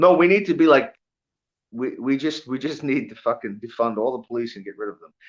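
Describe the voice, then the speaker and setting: Fairly high-pitched and lively in intonation, a man with a New York accent talks at a fairly quick pace, his loudness swinging widely. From New York (Long Island). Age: 40s. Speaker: bare knuckle fighter. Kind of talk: casual chat. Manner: animated.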